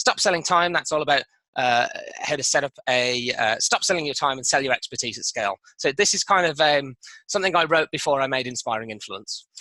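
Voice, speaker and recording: A man with a British accent speaks in a fairly high pitch, his tone bright and sharp, recorded with a dry, close sound and no echo. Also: ordinary pitch variation. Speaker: online business course creator. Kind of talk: product walkthrough. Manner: fast.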